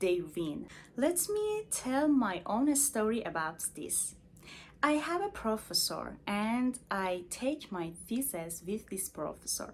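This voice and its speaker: At a very slow pace, a woman speaks with a fairly high pitch and very wide pitch swings. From Iran. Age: 20s. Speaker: medical doctor, self-help vlogger. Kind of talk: personal vlog talk to camera. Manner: halting, many fillers.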